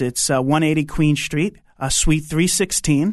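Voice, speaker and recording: Against a quiet background, a man with a New York accent speaks at a fairly high pitch and a moderate pace. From Long Island, New York. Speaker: pastor and DJ. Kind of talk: interview conversation with prayer.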